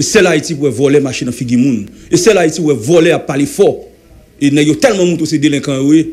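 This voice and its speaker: Words pour out of this man at a very fast pace. His voice sits fairly high and varies in an ordinary way. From Haiti. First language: Haitian Creole (speaking French). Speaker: former senator. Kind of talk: heated debate. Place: studio. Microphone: studio mic.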